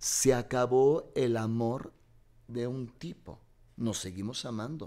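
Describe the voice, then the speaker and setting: With a dark, mellow tone, a man talks at a very slow pace, his loudness swinging widely. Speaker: guest, stage actor. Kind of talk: casual interview. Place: studio. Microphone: studio mic.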